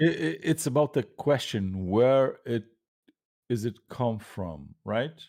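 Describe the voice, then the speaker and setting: A man at medium pitch with a dark, mellow tone and a non-native accent, very slow and with very wide pitch swings, on a very clean recording with a silent background. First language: not English. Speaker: panelist in atheist discussion. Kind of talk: casual debate discussion. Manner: halting, many fillers.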